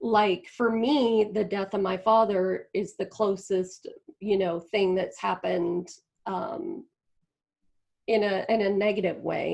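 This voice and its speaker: At a fairly slow pace, a woman with a normal speaking voice talks at medium pitch with ordinary pitch variation. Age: 50s. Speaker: spiritual community founder. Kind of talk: interview.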